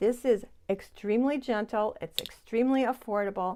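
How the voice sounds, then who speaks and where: A woman with a normal speaking voice, fairly high in pitch, at a moderate pace with ordinary pitch variation. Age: 60s. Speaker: beauty vlogger. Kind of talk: tutorial. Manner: chatty.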